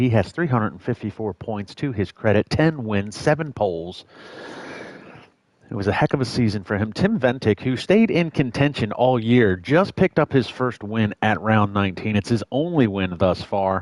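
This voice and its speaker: With an American accent and an ordinary speaking voice, this speaker talks at a fairly quick pace with ordinary pitch variation in a dry, close sound with no echo. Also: man. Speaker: sim racing commentator. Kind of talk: live commentary.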